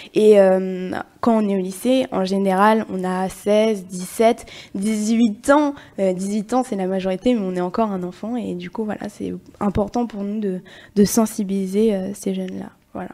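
A woman with a dark, mellow tone speaks at a medium pitch and a fairly slow pace. Her intonation stays fairly even, while her loudness swings widely. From Limoges, France. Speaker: student activist. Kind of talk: casual chat.

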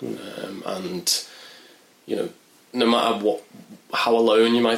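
A man with a Merseyside accent talks at a moderate pace and medium pitch in a monotone, flat intonation, with noticeable background noise behind him. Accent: Merseyside (Wirral) English. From northern England, Wirral. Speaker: journalist and mental health campaigner. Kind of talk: interview testimony. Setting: in person at charity office. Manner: hesitant, many fillers.

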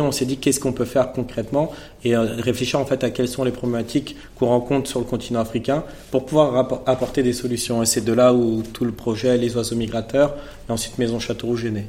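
A man speaks at a fairly quick pace in a medium pitch and a flat monotone, with audible room echo and noticeable background noise. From Paris suburbs (Seine-Saint-Denis), France. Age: 30s. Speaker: fashion brand founder. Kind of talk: masterclass interview before a live audience. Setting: stage with audience.

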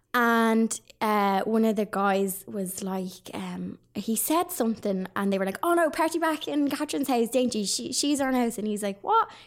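With a Dublin accent, a woman speaks at a fairly high pitch and a moderate pace, with hardly any pauses. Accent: Dublin Irish. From Ireland, Dublin. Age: 30s. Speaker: online crafter and retail worker. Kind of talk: casual chat. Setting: studio.

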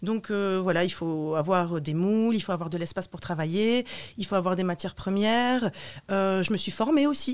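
At a moderate pace, a woman of medium pitch speaks with ordinary pitch variation. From northern France, Roubaix/Lille area. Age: 30s. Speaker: soap maker, former language teacher. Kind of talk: interview. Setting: radio studio. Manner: hesitant, many fillers.

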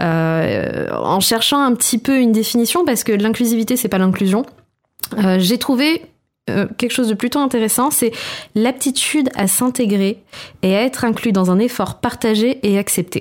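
At a moderate pace and very even loudness, a woman talks in a plain, everyday voice, fairly high in pitch with ordinary pitch variation. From Corsica. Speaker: podcast food columnist. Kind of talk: casual chat.

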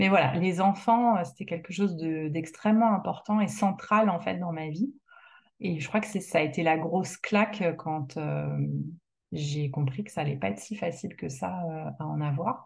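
A woman speaks in a fairly low pitch. Her voice is somewhat breathy. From France. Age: 40s. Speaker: woman going through solo fertility treatment. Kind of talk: personal testimony interview.

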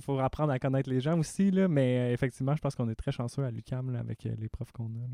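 Speaking in a Quebec accent at a fairly quick pace with hardly any pauses, a man uses a medium pitch, ordinary pitch variation, and a dark, mellow tone, recorded with a dry, close sound and no echo. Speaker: university student podcast co-host. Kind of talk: interview.

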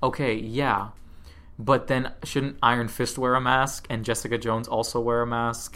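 With audible room echo and music in the background, a man of medium pitch speaks at a moderate pace in a monotone, flat intonation. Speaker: podcast host. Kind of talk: casual chat. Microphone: new microphone.

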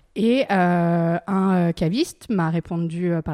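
The recording is very clean, with a silent background. A woman speaks at medium pitch in a dark, mellow tone. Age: 30s. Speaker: wine shop manager. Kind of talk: interview. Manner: enthusiastic.

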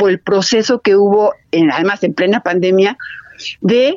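Her pitch is medium as a woman speaks at a fairly slow pace. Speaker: film director and film institute head. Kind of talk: radio interview. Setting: phone call. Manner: halting.

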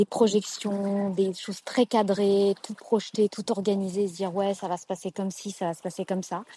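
A woman's medium-pitched, dark and mellow voice at a moderate pace, monotone and flat, with a dry, close sound and no echo. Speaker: podcast listener. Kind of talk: voice message testimony. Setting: outdoors by the sea. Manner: hesitant, many fillers.

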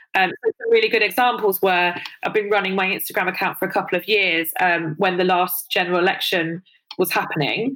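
A woman with a London accent speaks at a fairly quick pace in a medium pitch, her intonation fairly even. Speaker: influencer and body positivity advocate. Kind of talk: personal interview, candid testimony. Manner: hesitant, many fillers.

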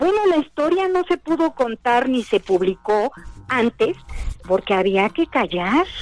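A woman speaks at a high pitch and a fairly slow pace, her pitch swinging very widely while her loudness stays very even. Music plays in the background, and the sound is dry and close with no echo. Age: 70s. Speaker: journalist and novelist. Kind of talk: interview.

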